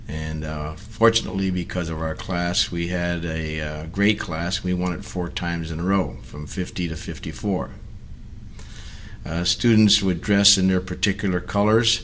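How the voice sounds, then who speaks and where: A moderate pace and ordinary pitch variation, with an American accent. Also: man, very deep, low pitch for a man. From Hayward, California. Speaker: retired educator. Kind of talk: oral history reminiscence. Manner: halting, many fillers.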